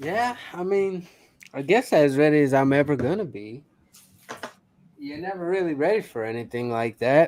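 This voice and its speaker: A man with a fairly high pitch talks at a moderate pace, making long, frequent pauses, with very wide pitch swings and big swings in loudness. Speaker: comic and pop culture podcast panelist. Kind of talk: casual chat.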